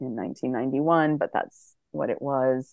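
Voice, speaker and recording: A woman speaks with an American accent. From Massachusetts, US. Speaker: podcast guest sharing faith journey. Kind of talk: personal testimony.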